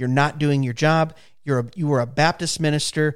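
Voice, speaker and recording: Using a normal speaking voice, a man with a fairly high pitch talks at a fairly quick pace with ordinary pitch variation. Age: 30s. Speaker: county commissioner. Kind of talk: casual chat.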